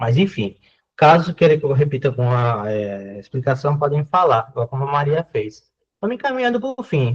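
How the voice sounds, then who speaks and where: A man speaks with a fairly high pitch and lively intonation. His voice is somewhat breathy. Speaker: university math lecturer. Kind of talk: online lecture. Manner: fast.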